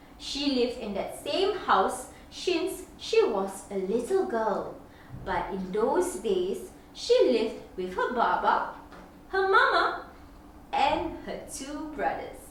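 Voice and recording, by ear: In a room with strong echo, a woman speaks slowly at a fairly high pitch with big pitch swings.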